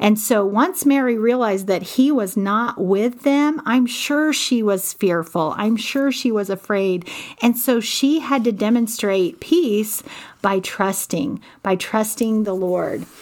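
Speaking very slowly over noticeable background noise, a woman uses a fairly high pitch and lively intonation. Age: 40s. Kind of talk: devotional Bible teaching.

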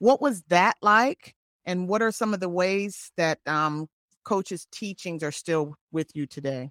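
A woman at medium pitch with lively intonation and a fairly slow pace, in a dry, close sound with no echo. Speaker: podcast co-host, former Olympic athlete. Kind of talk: interview. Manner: halting.

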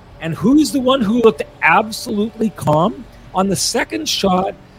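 The pitch swings very widely at a moderate pace. Noticeable background noise is present. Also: man. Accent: Manitoban. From Manitoba, Canada. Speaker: hockey podcast host. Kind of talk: post-game sports talk.

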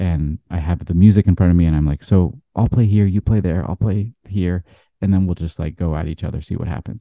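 A man with a very deep, low pitch and an American accent talks at a fairly quick pace with ordinary pitch variation. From US Pacific Northwest, Seattle. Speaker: jazz trumpeter. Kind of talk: casual interview storytelling.

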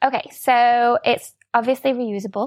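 A woman's high-pitched voice with a Yorkshire accent, a fairly slow pace, ordinary pitch variation, and a dry, close sound with no echo. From Sheffield, northern England. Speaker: product designer. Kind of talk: casual interview.

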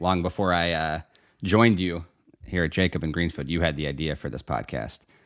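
A man with an American accent speaks in a very deep, low pitch with vocal fry and fairly even intonation. The recording is very clean, with a silent background. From Pittsburgh, Pennsylvania. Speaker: estate planning lawyer. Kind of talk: casual chat.

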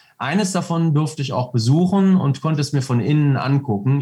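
Somewhat breathy and fairly high, a man's voice carries lively intonation. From North Rhine-Westphalia, Germany. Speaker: reservist soldier, entrepreneur, motorcyclist. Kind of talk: interview. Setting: video call.

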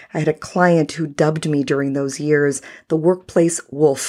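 At a moderate pace, a woman speaks with a very deep, low pitch and fairly even intonation, on a very clean recording with a silent background. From US, Salvadoran immigrant family. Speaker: podcast host, workplace attorney. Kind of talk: solo podcast monologue. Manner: filler-heavy, conversational.

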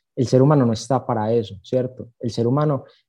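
This man has a plain, everyday voice of medium pitch with fairly even intonation. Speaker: accounting student, social media creator. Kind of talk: casual interview chat.

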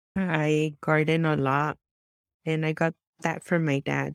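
A woman with an American accent speaks in a very deep, low pitch at a fairly slow pace. Her intonation is monotone and flat, and the sound is dry and close with no echo. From Southern California (Santa Ana, Orange County). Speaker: youth worker and former missionary. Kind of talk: interview conversation. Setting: video call.

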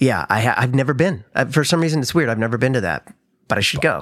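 A man speaks with an American accent. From Missouri, St. Louis. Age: 50s. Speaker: actor and musician. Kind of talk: casual chat.

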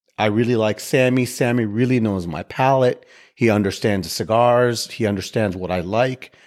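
An unremarkable speaking voice from a man at medium pitch, moderate in pace with lively intonation, on a very clean recording with a silent background. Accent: American. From Chicago. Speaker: real estate investor and podcast host. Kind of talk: casual chat.

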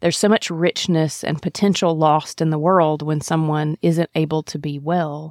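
In a Mississippi accent, a woman speaks at a moderate pace with hardly any pauses and a very deep, low pitch. Her intonation is monotone and flat, and the sound is dry and close with no echo. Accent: Southern US (Mississippi). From US South, Mississippi. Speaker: podcast host, internal medicine doctor. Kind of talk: scripted narration.

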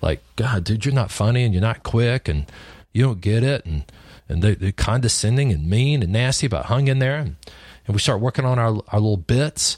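In a very clean, dry, close recording with no echo and a silent background, a man with a West Texas accent talks at a fairly quick pace with medium pitch, lively intonation and a somewhat breathy quality. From West Texas (Lubbock area). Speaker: podcast host, insurance agency consultant. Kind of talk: solo podcast monologue, storytelling. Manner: casual, with many fillers and repetitions.

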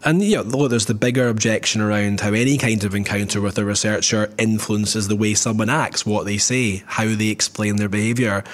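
With a Scottish accent, the speaker goes at a fairly quick pace with hardly any pauses, very even loudness and fairly even intonation over noticeable background noise. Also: man, fairly low pitch for a man. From Scotland. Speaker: podcast co-host, market researcher. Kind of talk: casual chat.

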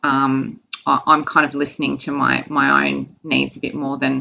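A woman speaks with vocal fry and a bright, sharp tone. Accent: Australian. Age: 40s. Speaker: nutrition client and marathon runner. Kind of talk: casual interview. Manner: hesitant, many fillers.

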